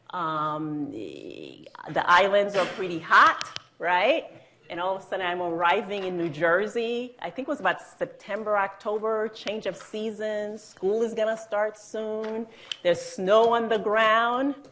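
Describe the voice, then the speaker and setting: Through noticeable background noise, a woman speaks at a medium pitch and a fairly slow pace. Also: ordinary pitch variation. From Haiti. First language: Haitian Creole / French. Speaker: judge. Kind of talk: interview on stage. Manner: hesitant fillers, conversational.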